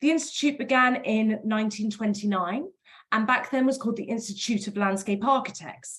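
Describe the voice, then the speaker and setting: In a British accent, a woman talks at a fairly quick pace with a fairly high pitch. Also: ordinary pitch variation. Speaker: professional body representative. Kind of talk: webinar presentation. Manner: fast.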